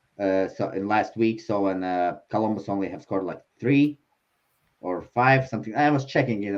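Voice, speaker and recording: A man speaks at a fairly quick pace with a non-native accent. His pitch is fairly low, with ordinary variation. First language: not English. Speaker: sports betting show panelist. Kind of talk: casual chat. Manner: halting, many fillers.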